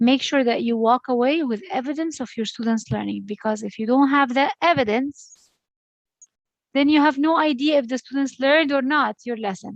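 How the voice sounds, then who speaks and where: A woman's voice, high in pitch, its pitch varying in an ordinary way. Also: moderate pace. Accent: Arabic. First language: Arabic. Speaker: education lecturer. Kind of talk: online lecture.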